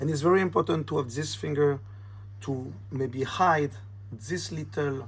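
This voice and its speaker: Speaking slowly, a man with a French accent uses a fairly high pitch and lively intonation. His voice is somewhat breathy. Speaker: magician. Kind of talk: tutorial. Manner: casual, slightly halting.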